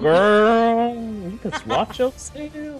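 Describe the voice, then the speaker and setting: Against clear music in the background, a woman uses a put-on character voice with ordinary pitch variation. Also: fairly high pitch for a woman. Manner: sassy.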